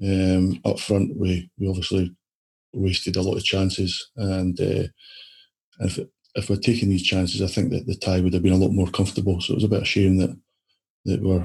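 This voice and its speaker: This man has a Scottish accent and a very deep, low voice. He sounds somewhat breathy and moves at a fairly quick pace. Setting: video call.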